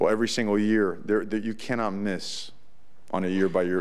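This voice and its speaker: Audible room echo surrounds a man speaking fairly quickly at a fairly low pitch. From US, Cuban-American family. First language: Spanish. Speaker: college football head coach. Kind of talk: press conference. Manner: animated.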